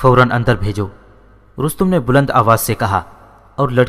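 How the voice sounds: The speaker uses a natural reading voice. Pitch variation is ordinary.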